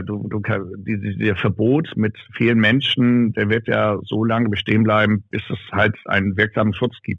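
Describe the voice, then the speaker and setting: In a flat, monotone intonation, this man talks at a fairly low pitch. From northern Germany, North Frisia. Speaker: arena announcer and DJ. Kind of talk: casual interview. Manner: loud.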